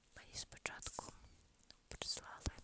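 Someone whispers at a very slow pace. Background noise can be clearly heard. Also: woman. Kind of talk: ASMR whisper chat. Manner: whispered, soft-spoken.

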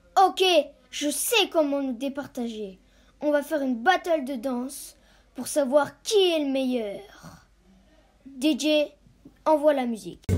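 In a cartoonish character voice, a female-sounding speaker talks at a high pitch and fairly slow pace, with long, frequent pauses. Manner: irritated.

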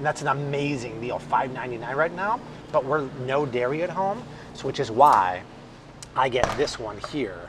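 Moderate pace and ordinary pitch variation, with noticeable background noise. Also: man. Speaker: food shopping vlogger. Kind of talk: casual vlog chat. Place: shop. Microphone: lapel.

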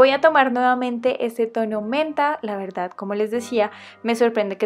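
Background music beneath ordinary variation in pitch. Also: woman. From Colombia. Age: 20s. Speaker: nail art youtuber. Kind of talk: casual tutorial voice-over.

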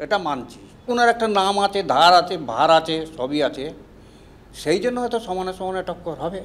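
A high-pitched man with lively intonation. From West Bengal, Bally (Howrah); West Bengal. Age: 20s. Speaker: politician, election candidate. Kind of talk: televised political interview. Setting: studio. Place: studio.

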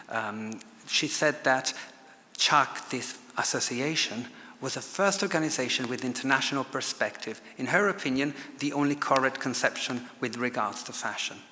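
A man talks at medium pitch and a moderate pace with ordinary pitch variation. Light background noise sits behind him. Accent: Italian. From Italy, Lombardy. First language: Italian. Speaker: fashion historian and author. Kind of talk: lecture. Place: hall. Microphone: podium.

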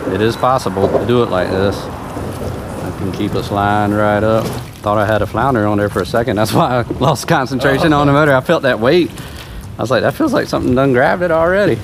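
Over noticeable background noise, a man talks at a very fast pace. His intonation is lively. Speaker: fishing vlogger. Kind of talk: casual vlog chat. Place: boat. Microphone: camera far.

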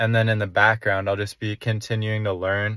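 A man speaks in a fairly low, monotone, flat voice. The sound is dry with no echo, over a quiet background. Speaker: young entrepreneur vlogger. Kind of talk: casual vlog chat. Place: car. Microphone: phone near.

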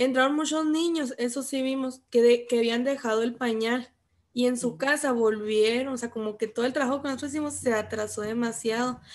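Over a quiet background, a woman with a high pitch talks at a fairly quick pace in fairly even intonation. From Chihuahua, Mexico. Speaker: student, childcare worker. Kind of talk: class participation. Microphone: video call.

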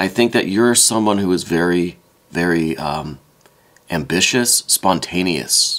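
The pitch variation is ordinary. Noticeable background noise is present. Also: man, very deep, low pitch for a man, fairly slow pace. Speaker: tarot reader. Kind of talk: tarot reading.

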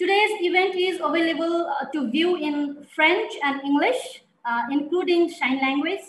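A woman's extremely high pitch with ordinary pitch variation, at a fairly slow pace, amid audible room echo. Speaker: webinar moderator. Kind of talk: event moderation, welcome remarks. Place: home room. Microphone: headset.

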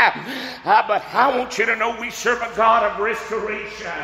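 Amid light background noise and audible room echo, a man speaks at a high pitch in a flat monotone. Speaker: preacher. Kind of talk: sermon. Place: church.

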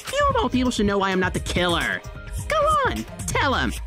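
A cartoonish character voice at a fairly quick pace over loud music in the background. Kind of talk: cartoon villain voice. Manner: impatient, gleeful, bossy.

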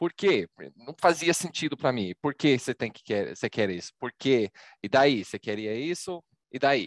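Against a quiet background, a man with an American accent speaks at a fairly slow pace, his pitch swinging very widely in a dry sound with no echo. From Texas. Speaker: data visualization presenter; presenter. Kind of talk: presentation. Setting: video call. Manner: animated. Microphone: video call.

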